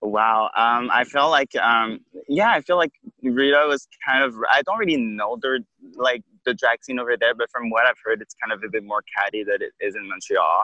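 A man with a Quebec accent speaks at a moderate pace. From Quebec City. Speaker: drag queen. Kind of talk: interview. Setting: outdoors on a beach.

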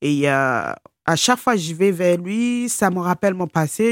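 A woman with a fairly low pitch speaks with lively intonation on a very clean recording with a silent background, the sound dry and close with no echo. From Nigeria, Lagos suburbs, raised in France from age 12. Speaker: abuse survivor, care assistant. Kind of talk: interview testimony. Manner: halting.

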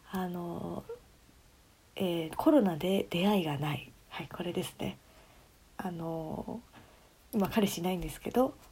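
A woman with a fairly low pitch and ordinary pitch variation speaks at a fairly slow pace, with long, frequent pauses and big swings in loudness. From Tokyo, Japan. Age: 20s. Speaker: podcast co-host, office worker. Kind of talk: casual chat.

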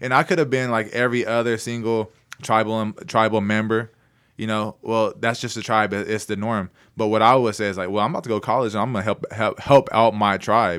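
With an American accent, a man of medium pitch talks at a fairly quick pace with fairly even intonation in a plain, everyday voice. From Oklahoma, Anadarko area. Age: 20s. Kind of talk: casual chat. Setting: studio.

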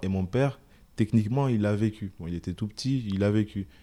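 Speaking at a moderate pace, a man has a fairly low pitch and a dark, mellow tone. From Comoros, then Marseille area from early teens. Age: young. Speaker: podcast host. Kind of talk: casual chat. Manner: halting, frequent repetitions.

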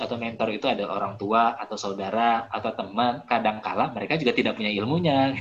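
The speaker is a man with a medium pitch. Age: 30s. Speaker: life coach reviewing a book. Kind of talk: online book discussion talk. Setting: video call. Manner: hesitant, many fillers and repetitions.

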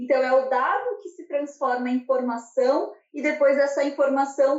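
A woman speaks at a high pitch. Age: 20s. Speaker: manufacturing engineer. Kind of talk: interview.

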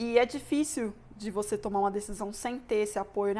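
With a fairly high voice, a woman speaks at an even, moderate tempo. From Brazil, Brasília. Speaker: mechanical engineering student. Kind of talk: casual interview. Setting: host's home.

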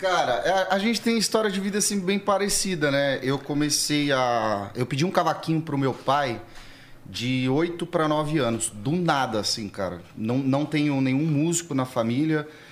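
The man speaks in a normal speaking voice at a fairly slow pace. His pitch is fairly high and his intonation lively. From São Paulo, Interlagos. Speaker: pagode musician. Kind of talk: casual chat.

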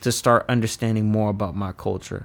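At a moderate pace, a man speaks in a plain, everyday voice with medium pitch. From Washington DC. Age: 20s. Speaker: young professional. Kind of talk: casual chat.

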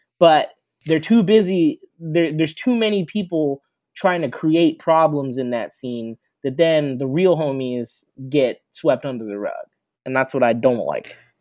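An ordinary speaking voice from a man, fairly high in pitch, with lively intonation and a fairly slow pace on a very clean recording with a silent background. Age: 30s. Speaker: singer and music teacher. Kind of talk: casual chat.

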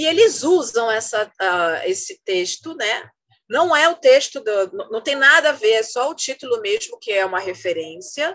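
Her high pitch moving in very wide swings, a woman talks at a fairly slow pace. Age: 50s. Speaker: journalist and researcher. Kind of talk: casual interview. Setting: online call.

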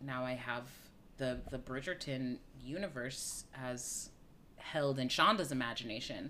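A woman with a very deep, low voice speaks at a fairly slow pace, and audible echo fills the room. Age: 40s. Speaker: podcast host and theatre artist. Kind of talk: casual chat.

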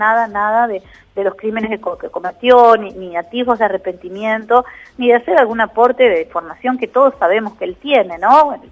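Speaking with a Rioplatense accent, a woman talks at a fairly quick pace in a fairly high pitch with ordinary pitch variation. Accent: Argentine Rioplatense Spanish. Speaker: psychologist and author. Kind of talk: radio interview.

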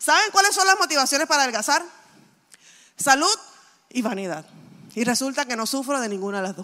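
A woman speaks in a raised, projected voice, high-pitched, bright and sharp, with an animated tone and very wide pitch swings. Her pace is fairly quick, broken by long, frequent pauses. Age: 40s. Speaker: pastor. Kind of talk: sermon.

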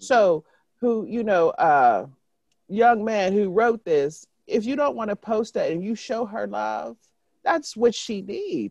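Speaking at a fairly slow pace, a woman with a medium-pitched voice and vocal fry swings her pitch very widely, recorded dry and close with no echo. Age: 50s. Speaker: podcast co-host. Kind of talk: casual chat.

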